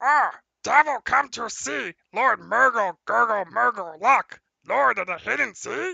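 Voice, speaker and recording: A fairly high pitch marks this put-on character voice. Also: fairly slow pace. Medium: actual play.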